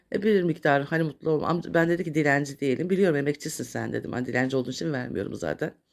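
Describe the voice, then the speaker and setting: Vocal fry runs through this woman's very fast speech. She barely pauses and uses ordinary pitch variation. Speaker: YouTuber. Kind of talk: casual vlog monologue. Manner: halting, many filler sounds.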